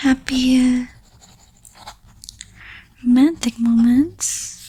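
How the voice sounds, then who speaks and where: A soft-spoken woman whispers at a very slow pace. Noticeable background noise is present. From Philippines. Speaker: tarot reader. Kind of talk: ASMR astrology reading. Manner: whispered, soft-spoken.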